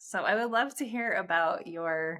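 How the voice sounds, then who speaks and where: Using a plain, everyday voice, a woman with an American accent speaks at a fairly slow pace at medium pitch with ordinary pitch variation. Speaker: podcast host. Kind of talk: interview.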